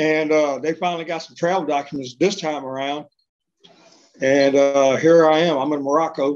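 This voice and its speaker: The man's voice is fairly high in pitch and monotone, with flat intonation. He keeps a moderate pace. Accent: Texas. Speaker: deported adoptee. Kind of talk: interview testimony.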